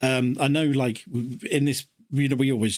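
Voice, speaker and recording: A man is speaking. He has an English accent. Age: 40s. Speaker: podcast co-host. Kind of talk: casual chat.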